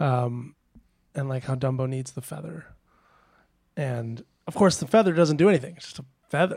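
A somewhat breathy man talks at a moderate pace and fairly high pitch with ordinary pitch variation, big swings in loudness, and long, frequent pauses. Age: 30s. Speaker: musician. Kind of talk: casual chat. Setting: retreat.

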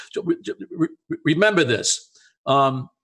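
This is a man talking. His pace is moderate. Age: 70s. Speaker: cardiologist and integrative health podcast co-host. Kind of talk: casual chat. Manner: halting, many fillers and repetitions.

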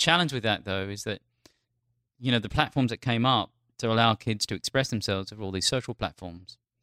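In an Australian accent, a man speaks at a fairly quick pace with a bright, sharp tone and ordinary pitch variation, in a dry, close sound with no echo and a very clean recording with a silent background. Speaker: trend analyst for brands. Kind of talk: casual interview. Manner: animated.

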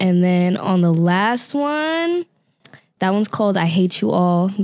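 With an American accent, a woman speaks at a moderate pace in a fairly low pitch and a dark, mellow tone, on a very clean recording with a silent background. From New York, Staten Island. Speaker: singer and rapper. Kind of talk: interview.

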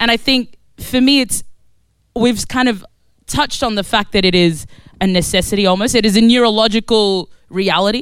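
With an Australian accent, a woman of fairly high pitch speaks at a moderate pace in an animated tone, with ordinary pitch variation and very even loudness. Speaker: activist. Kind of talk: panel debate.

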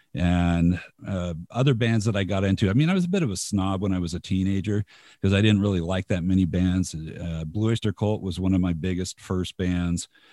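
A man speaks with a very deep, low pitch and a dark, mellow tone at a fairly quick pace. His intonation stays fairly even on a very clean recording with a silent background. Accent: General American. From US West, Los Angeles suburbs. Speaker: radio station host. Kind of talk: casual chat.

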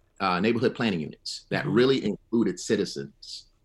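Fairly quick, lively intonation from a man's voice. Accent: Alabama. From Selma, Alabama. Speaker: history professor. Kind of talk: radio panel discussion.

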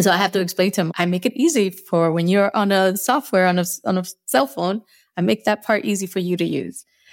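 On a very clean recording with a silent background, a woman at medium pitch talks at a fairly quick pace with ordinary pitch variation, the sound dry and close with no echo. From US Northeast. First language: Spanish. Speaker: UX designer. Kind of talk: interview conversation. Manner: takes long pauses; laughs often.

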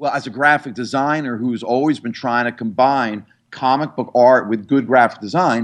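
A man with an American accent speaks at a fairly quick pace with ordinary pitch variation and a medium pitch. His is an unremarkable speaking voice, set against a quiet background. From New York area, New Jersey. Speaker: comic book historian and graphic designer. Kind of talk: interview.

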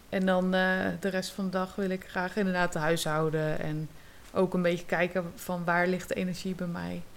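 With monotone, flat intonation, a woman talks in a medium pitch at a moderate pace. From Netherlands, Zeeland. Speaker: yoga teacher and drama therapist. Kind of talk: casual interview.

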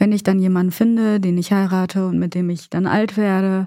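A woman speaks at a moderate pace in a dark, mellow tone of medium pitch. The recording is very clean, with a silent background. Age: 30s. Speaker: grieving guest. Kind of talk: personal testimony in therapy talk.

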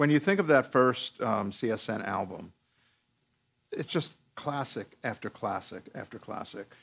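A man with an unremarkable speaking voice, medium pitch, lively intonation and a moderate pace. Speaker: music podcast host. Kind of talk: interview conversation.

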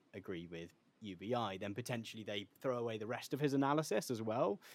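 A man with an ordinary speaking voice talks at a fairly quick pace, at medium pitch and with ordinary pitch variation. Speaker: podcast host. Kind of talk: casual interview chat.

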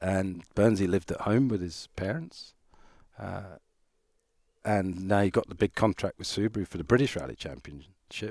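On a very clean recording with a silent background and a dry, close sound with no echo, a man with a very deep, low pitch and vocal fry speaks at a moderate pace with lively intonation. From Ireland. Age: 50s. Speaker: rally photographer. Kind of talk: interview.

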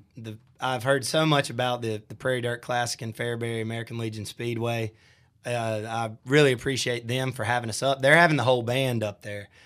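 With a Southern US accent, a man talks at a fairly quick pace and with fairly even intonation in a very clean recording with a silent background. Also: medium pitch for a man. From US South, Shelby, North Carolina. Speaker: country band singer. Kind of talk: casual interview. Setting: studio.

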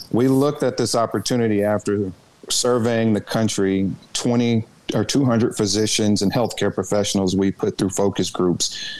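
A man speaks at a moderate pace in a Southern US accent with a fairly low pitch. His intonation is fairly even and his loudness very even. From Arkansas, Little Rock. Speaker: former state politician and cannabis entrepreneur. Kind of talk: interview.

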